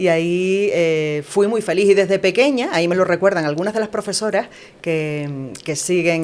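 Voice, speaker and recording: An ordinary speaking voice from a woman, with ordinary pitch variation. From Canary Islands, La Palma. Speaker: news writer and broadcast announcer. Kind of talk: interview answer.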